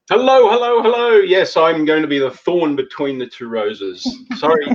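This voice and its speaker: With an Australian accent, a man talks at a moderate pace in a high voice, his pitch swinging very widely. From Australia, Sydney. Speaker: intercultural consultant and relocation trainer. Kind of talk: live panel discussion. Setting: live video stream.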